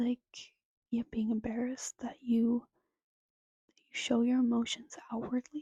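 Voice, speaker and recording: The speaker is soft-spoken and talks at a fairly slow pace. Long, frequent pauses break up the speech. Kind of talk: ASMR soft-spoken ramble to camera.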